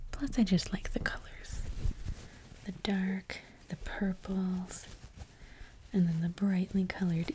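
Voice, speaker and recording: Soft-spoken and calm in tone, a woman talks very slowly at a medium pitch with fairly even intonation and long, frequent pauses. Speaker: ASMR content creator and cosplayer. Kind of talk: ASMR show-and-tell, casual talk to camera. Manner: soft-spoken, quiet, calm.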